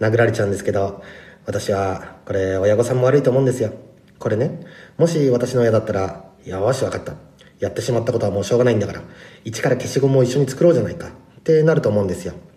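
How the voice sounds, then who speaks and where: A man at medium pitch, very fast and lively in intonation, somewhat breathy, with a dark, mellow tone. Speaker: rapper. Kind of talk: episode review talk.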